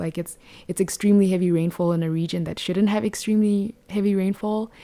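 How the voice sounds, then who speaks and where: Speaking in a Botswana accent, a woman uses monotone, flat intonation and a dark, mellow tone on a very clean recording with a silent background. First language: Setswana. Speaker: podcast host. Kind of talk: casual podcast monologue. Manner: hesitant, many fillers.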